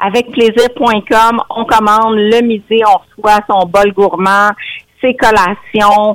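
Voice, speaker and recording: In a Quebec accent, a woman talks at a fairly high pitch. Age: 50s. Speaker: nutritionist. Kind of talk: radio interview.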